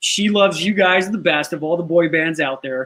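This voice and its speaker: With a Chicago accent, a man speaks at a fairly quick pace. His pitch is high, and his intonation is fairly even. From Chicago, South Side. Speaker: talk show host and actor. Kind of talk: talk show interview.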